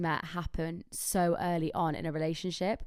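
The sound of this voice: The voice has a clear, smooth tone yet sounds raspy. The recording is very clean, with a silent background. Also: woman.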